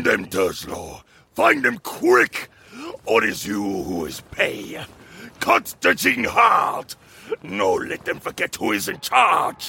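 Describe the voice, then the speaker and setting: Speaking at a fairly slow pace, a man has a raspy voice of medium pitch. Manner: savage, threatening.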